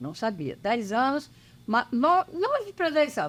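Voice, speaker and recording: This woman's high-pitched voice moves fairly slowly. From Espírito Santo, Brazil (rural Rio Novo do Sul / Anchieta). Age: 80s+. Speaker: longtime church member. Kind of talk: casual interview.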